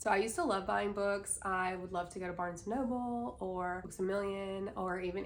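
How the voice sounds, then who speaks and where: A woman's voice is heard with audible room echo. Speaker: lifestyle vlogger. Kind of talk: casual vlog talk.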